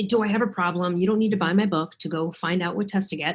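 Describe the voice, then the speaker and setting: Speaking very fast with an American accent, a woman has a somewhat breathy, medium-pitched voice and ordinary pitch variation. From US Midwest, Chicago. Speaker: author and thyroid coach. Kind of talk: casual interview chat. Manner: animated.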